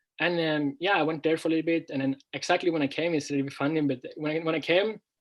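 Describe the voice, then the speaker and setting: A man with a Norwegian accent, fairly high in pitch, with fairly even intonation and a very fast pace. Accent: Norwegian, clear. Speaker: language teacher and former footballer. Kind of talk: interview. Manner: clear; halting.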